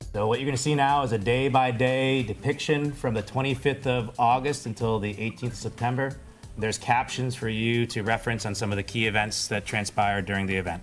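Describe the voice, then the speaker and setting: Music plays in the background as a man talks at a fairly quick pace. His pitch is medium and his intonation fairly even. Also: hardly any pauses. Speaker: army engineer spokesperson. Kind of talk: official briefing.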